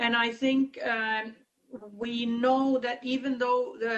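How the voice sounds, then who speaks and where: A woman in a Finnish accent, fairly high in pitch, at a fairly slow pace. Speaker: conference chair. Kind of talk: conference meeting discussion. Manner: halting, many fillers.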